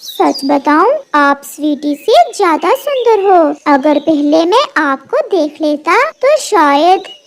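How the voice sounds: A cartoonish character voice moves at a very slow pace with very even loudness. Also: woman.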